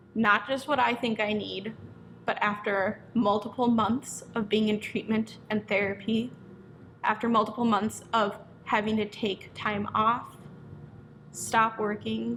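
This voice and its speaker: At a fairly slow pace, a woman with a fairly high pitch speaks in a flat monotone with vocal fry. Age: 20s. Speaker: hair stylist and business owner. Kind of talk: personal testimony to camera.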